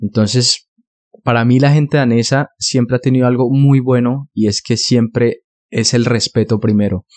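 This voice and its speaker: This is an unremarkable speaking voice at a moderate pace. Its intonation is fairly even and its loudness very even. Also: man, medium pitch for a man. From Colombia, Bogotá. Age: 20s. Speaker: podcaster. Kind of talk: solo podcast monologue.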